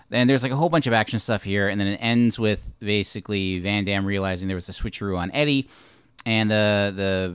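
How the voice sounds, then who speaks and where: Here is an ordinary speaking voice at a fairly quick pace. Its pitch varies in an ordinary way. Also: man. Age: 30s. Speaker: movie podcast host. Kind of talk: casual chat.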